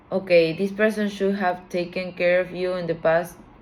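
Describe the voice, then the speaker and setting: A woman speaks with a non-native accent at a fairly low pitch. Her intonation is monotone and flat. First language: not English. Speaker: tarot reader. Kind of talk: tarot reading. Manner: halting.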